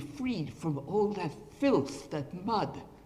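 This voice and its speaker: Lively intonation marks a man's very slow speech, heard with audible room echo. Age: 80s+. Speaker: retired professor giving a talk. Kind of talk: lecture.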